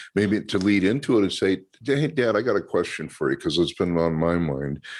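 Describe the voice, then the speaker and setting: In a very clean recording with a silent background, a man with an American accent uses an ordinary speaking voice, fairly low in pitch and fairly quick in pace. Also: lively intonation. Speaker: podcast host, anti-hate speaker. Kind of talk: casual chat.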